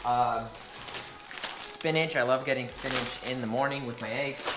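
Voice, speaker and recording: The speech moves at a moderate pace. Noticeable background noise runs underneath it. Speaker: fitness vlogger. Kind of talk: casual vlog. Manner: casual, filler-heavy.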